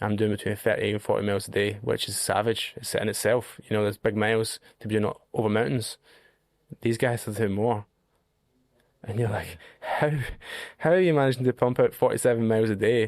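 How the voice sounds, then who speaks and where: Speaking at a fairly quick pace in a Scottish accent, a man with a medium-pitched voice and ordinary pitch variation leaves long, frequent pauses, on a very clean recording with a silent background. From Scotland. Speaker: long-distance hiker. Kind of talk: podcast interview. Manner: animated.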